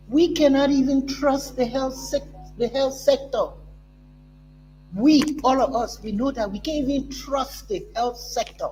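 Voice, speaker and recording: Fairly slow speech with long, frequent pauses and music in the background. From Liberia. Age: 70s. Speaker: talk show host. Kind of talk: political commentary.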